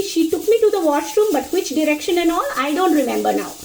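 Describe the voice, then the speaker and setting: In a Bengali accent, a woman talks very fast in an animated tone with an extremely high pitch and ordinary pitch variation, over noticeable background noise. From India, Mizoram (Bengali family). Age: 40s. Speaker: storyteller. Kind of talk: casual storytelling monologue. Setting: home kitchen, cooking.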